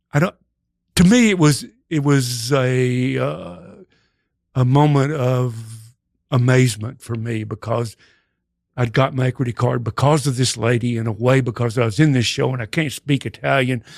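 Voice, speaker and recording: With a Texas accent, a man speaks at a moderate pace and medium pitch, leaving long, frequent pauses. The recording is very clean with a silent background, and his pitch variation is ordinary. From Texas, Dallas. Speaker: actor and improv comedian. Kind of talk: casual chat.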